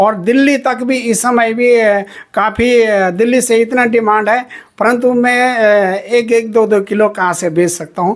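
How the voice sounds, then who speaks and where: A man's high-pitched voice carries fairly even intonation. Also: very even loudness. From Uttarakhand, Chamoli district (Garhwal). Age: 60s. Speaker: sweet maker. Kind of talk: interview. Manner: halting, many fillers.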